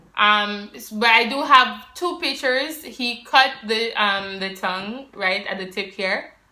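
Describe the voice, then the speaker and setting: With a Jamaican accent, a woman speaks at a fairly slow pace in a fairly high pitch, her intonation lively and her loudness swinging widely, with audible room echo. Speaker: vlogger. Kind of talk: personal vlog talking to camera. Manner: casual, conversational with fillers.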